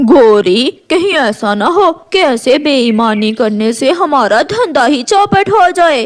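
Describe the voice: A cartoonish, female-sounding character voice with a high pitch at a fairly slow pace.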